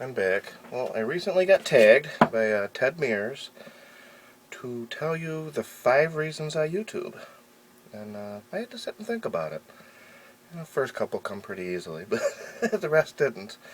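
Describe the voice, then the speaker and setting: The speech moves at a moderate pace, broken by long, frequent pauses, with very wide pitch swings and big shifts in loudness. Noticeable background noise sits behind it. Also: man, fairly high pitch for a man. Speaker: hobbyist vlogger. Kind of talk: casual vlog talk to camera. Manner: hesitant, many fillers.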